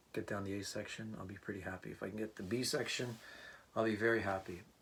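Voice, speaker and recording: Soft-spoken, a man talks with fairly even intonation at a fairly low pitch. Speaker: part-time musician and teacher. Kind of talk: casual vlog talk. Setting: home room, not a studio. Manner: halting.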